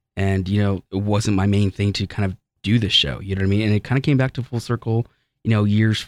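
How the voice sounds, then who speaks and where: In a plain, everyday voice, a man speaks at a fairly low pitch and a fairly quick pace with fairly even intonation, recorded very cleanly against a silent background. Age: 30s. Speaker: psychic medium and radio show host. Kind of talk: radio talk show. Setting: studio.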